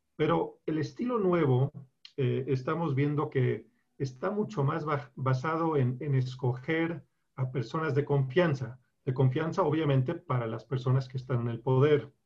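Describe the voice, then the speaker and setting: Talking at a fairly slow pace, a man uses a fairly high, somewhat breathy voice with ordinary pitch variation. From Colombia. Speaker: lawyer. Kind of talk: interview. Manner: halting.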